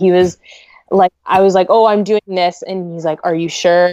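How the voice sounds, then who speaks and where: A woman with a western Canadian accent, fairly low-pitched, with fairly even intonation and a dry, close sound free of echo. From Canada, Greater Vancouver. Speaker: wedding photographer. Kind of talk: casual interview chat.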